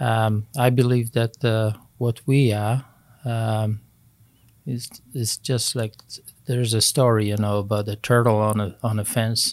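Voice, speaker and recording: With a Polish accent, a man speaks fairly slowly at a medium pitch in a monotone, flat intonation, leaving long, frequent pauses. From Poland, Wrocław. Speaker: retired air force officer. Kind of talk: casual interview, life story.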